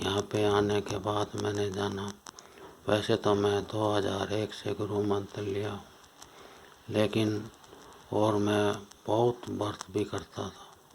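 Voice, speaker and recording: Noticeable background noise sits under a man's fairly low voice as he speaks in a flat monotone with long, frequent pauses. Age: 60s. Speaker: spiritual seeker. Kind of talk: testimony.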